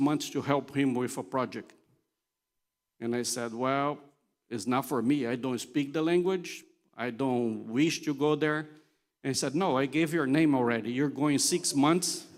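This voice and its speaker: A man speaks with a non-native accent in a very clean recording with a silent background. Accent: foreign accent, noticeable. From Brazil (São Paulo area, Italian family). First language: Portuguese. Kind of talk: conference talk. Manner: conversational, humorous.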